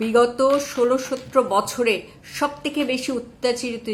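With an animated tone, a woman talks at high pitch, her pitch varying in an ordinary way. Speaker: political commentator. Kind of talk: political commentary monologue.

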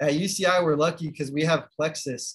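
A man speaks with a fairly high pitch and a somewhat breathy quality. His intonation stays fairly even. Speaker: medical student and book co-editor. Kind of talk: presentation. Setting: video call.

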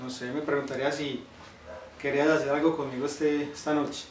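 Over light background noise and audible room echo, a man speaks fairly quickly with fairly even intonation. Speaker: actor in a skit. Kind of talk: acted phone conversation. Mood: flirty, slightly shy invitation. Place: home room.

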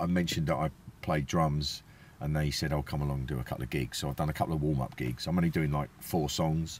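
A man's very deep, low voice at a very fast pace with fairly even intonation, dry with no echo, over light background noise. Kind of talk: casual vlog chat. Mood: wry, self-mocking humour.

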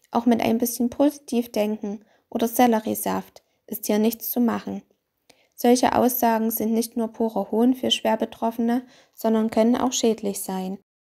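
A woman speaks at a fairly slow pace in a dark, mellow tone, with long, frequent pauses. Her intonation is monotone and flat, and the recording is very clean with a silent background. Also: fairly high pitch for a woman. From Austria. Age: 30s. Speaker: chronically ill patient. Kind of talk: testimony.

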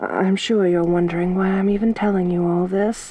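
A woman speaks in a menacing tone. Her voice is dark and mellow, with a dry sound and no echo. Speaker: ASMR roleplay performer. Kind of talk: asmr roleplay, intimate whispery-soft in-character monologue. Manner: soft-spoken, slow and teasing, menacing yet flirtatious.

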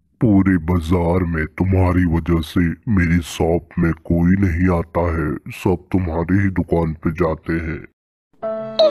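In a very clean recording with a silent background, a man does a cartoonish character voice, very deep and low, at a fairly slow pace with monotone, flat intonation. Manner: hawking loudly, then menacing.

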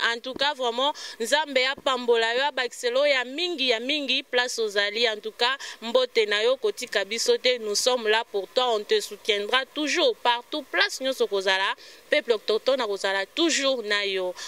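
Noticeable background noise surrounds a woman speaking at a high pitch and a fairly slow pace. Her pitch variation is ordinary, and the sound is dry and close with no echo. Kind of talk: TV talk show interview.

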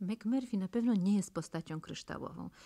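Somewhat breathy and dark, mellow in tone, a woman at medium pitch makes very wide pitch swings against a quiet background. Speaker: radio interviewer. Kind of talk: radio interview.

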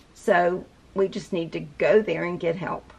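A woman's fairly low voice, fairly slow and fairly even in intonation, with a slightly mellow tone, a slightly husky edge and vocal fry

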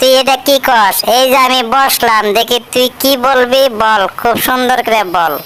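A cartoonish character voice that sounds female speaks at a moderate pace and fairly high pitch over light background noise. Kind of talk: comic overacting. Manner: rough rustic dialect, fast.

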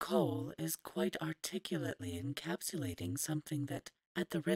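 In a quiet background, the speaker is reading aloud in a natural voice.

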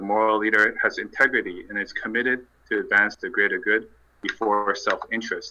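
The pace is fairly quick as a man speaks. The background is quiet. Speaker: nonprofit youth director and moderator. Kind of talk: moderated online panel discussion. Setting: online group call. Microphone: video call.

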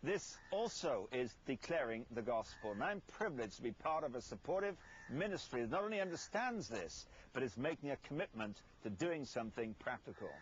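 The voice has vocal fry and a fairly quick pace, sounding dry with no echo over light background noise. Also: man. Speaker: television ministry host. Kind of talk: televangelist appeal to camera. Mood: earnest, persuasive. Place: garden. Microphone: lapel.

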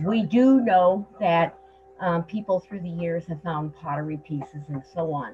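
With an American accent, a woman talks at a fairly slow pace in a fairly low pitch. Light background noise is present. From Nebraska. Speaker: gardener and historian. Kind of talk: introduction on a group call. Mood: reflective, warm. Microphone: video call.

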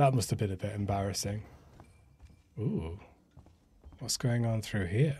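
A man speaks at a fairly slow pace with long, frequent pauses. His voice is somewhat breathy. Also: fairly low pitch for a man, ordinary pitch variation. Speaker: let's play gamer. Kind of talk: casual gameplay commentary.

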